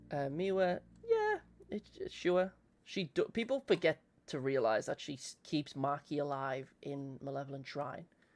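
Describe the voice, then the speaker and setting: The speaker is a man with an English accent. His pitch is fairly high. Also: ordinary pitch variation. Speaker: streamer. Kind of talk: casual chat. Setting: live stream. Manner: fast.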